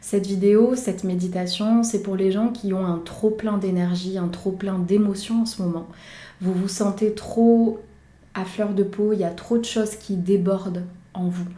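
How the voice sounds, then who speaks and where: A woman's fairly slow, somewhat breathy monotone, dark and mellow, with flat intonation and audible room echo. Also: medium pitch for a woman. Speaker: meditation guide and YouTuber. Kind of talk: guided meditation; casual intro to camera. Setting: outdoors. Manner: soft-spoken, calm.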